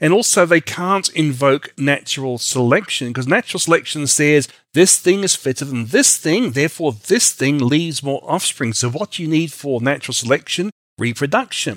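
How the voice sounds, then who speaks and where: The man speaks at a moderate pace. His pitch is fairly high and his intonation lively. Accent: Australian. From Australia and New Zealand. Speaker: creationist scientist, PhD chemist. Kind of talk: interview on science and faith. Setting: studio.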